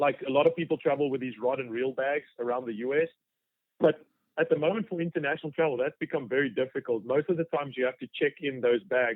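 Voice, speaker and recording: Speaking very fast, a man with a South African accent uses a fairly high pitch and ordinary pitch variation. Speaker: fly fishing guide. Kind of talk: podcast interview. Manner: halting, many fillers.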